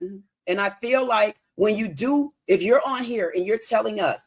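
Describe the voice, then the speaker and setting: A woman speaks in an animated tone at a medium pitch, with lively intonation and a fairly quick pace. Her voice has vocal fry, and the sound is dry and close with no echo. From US. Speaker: caller on live debate stream. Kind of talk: heated debate.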